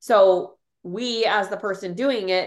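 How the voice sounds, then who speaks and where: Against a quiet background, a woman talks in an animated tone at a medium pitch with ordinary pitch variation. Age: 30s. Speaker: podcast host and social media coach.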